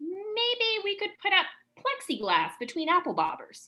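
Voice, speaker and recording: Squeaky and extremely high-pitched, this put-on character voice moves at a moderate pace. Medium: comedy sketch. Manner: earnest, helpful.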